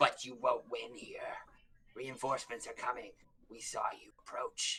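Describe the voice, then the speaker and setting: A man performs a put-on character voice. It sounds raspy. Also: moderate pace. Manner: gruff, defiant.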